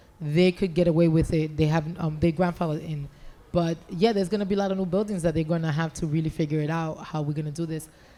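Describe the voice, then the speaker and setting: With an American accent, a woman speaks at a very fast pace in a dark, mellow tone with fairly even intonation. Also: fairly low pitch for a woman. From New York. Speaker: city government official. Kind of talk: panel discussion.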